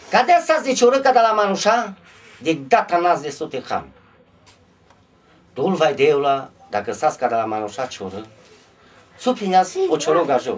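Pausing long and often, a man with a high pitch talks at a fairly slow pace, his pitch swinging very widely. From Maramureș, Romania. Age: 50s. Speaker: storyteller, broomstick maker. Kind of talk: folk storytelling. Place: home room. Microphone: camera far.

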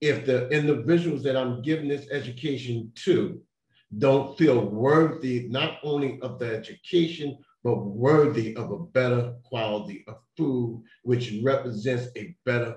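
A somewhat breathy voice at a moderate pace with ordinary pitch variation, heard with audible room echo. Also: man. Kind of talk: panel talk. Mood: earnest, serious. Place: home room. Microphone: video call.

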